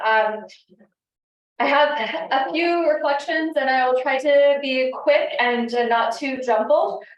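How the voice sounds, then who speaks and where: With audible room echo, a woman speaks in a high voice with ordinary pitch variation. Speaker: NGO policy advocate. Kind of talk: panel discussion. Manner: halting, many fillers.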